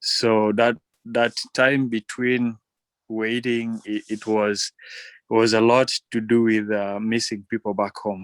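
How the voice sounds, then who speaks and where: A man with a Ugandan accent at a medium pitch, very slow pace and monotone, flat intonation, in a dry, close sound with no echo. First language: Ateso. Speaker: electrician. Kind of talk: interview.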